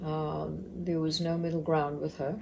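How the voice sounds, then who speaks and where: In a dark, mellow tone, a somewhat breathy woman with fairly low pitch speaks at a moderate pace amid audible room echo. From Mozambique. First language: Portuguese. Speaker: retirement center business owner. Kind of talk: interview.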